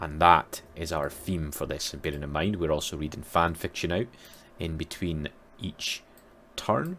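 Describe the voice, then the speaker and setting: A bright, sharp tone comes through in a Scottish accent at a moderate pace. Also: man, very deep, low pitch for a man, fairly even intonation. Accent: Scottish, rolled R's. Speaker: gaming YouTuber. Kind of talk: let's play commentary. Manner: casual, conversational.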